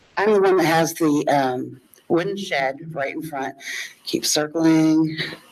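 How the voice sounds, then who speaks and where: A woman's very deep, low voice with an American accent, ordinary pitch variation and a fairly slow pace, over noticeable background noise. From northern Indiana. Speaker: resident speaking at public hearing. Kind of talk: public comment at zoning hearing. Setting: public meeting room. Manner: loud.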